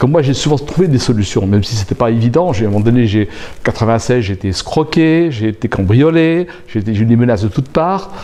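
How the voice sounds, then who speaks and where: Man at a medium pitch, very fast and lively in intonation, over noticeable background noise. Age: 60s. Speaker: aspiring coach and infopreneur. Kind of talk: interview. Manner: hesitant.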